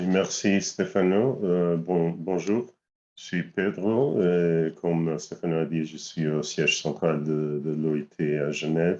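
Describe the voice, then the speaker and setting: A man with a non-native accent speaks at a very slow pace. His pitch is very deep and low, with ordinary variation. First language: not French (speaking French). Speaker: lifelong learning specialist. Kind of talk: webinar self-introduction. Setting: video call. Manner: halting.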